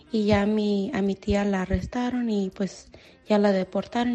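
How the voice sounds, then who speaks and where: Dark and mellow in tone, the voice is somewhat breathy and moves at a fairly slow pace in a monotone, flat intonation. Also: woman. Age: 20s. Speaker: listener sending voice message. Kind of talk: testimony.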